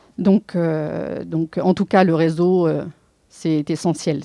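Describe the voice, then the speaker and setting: A woman with a very deep, low pitch talks in fairly even intonation. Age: 50s. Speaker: entrepreneur. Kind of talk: testimony. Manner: halting, many hesitations.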